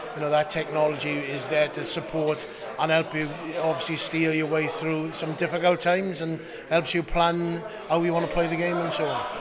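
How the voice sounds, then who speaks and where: Through noticeable background noise, a man speaks at a moderate pace in a fairly high pitch with monotone, flat intonation. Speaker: rugby coach. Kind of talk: interview.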